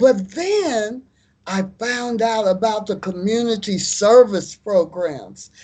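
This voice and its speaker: With an American accent, a woman speaks at a very slow pace in a fairly high pitch. Her pitch variation is ordinary, and the background is quiet. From US Midwest, Kansas City, Kansas. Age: 70s. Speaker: musician and former activist. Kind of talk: interview.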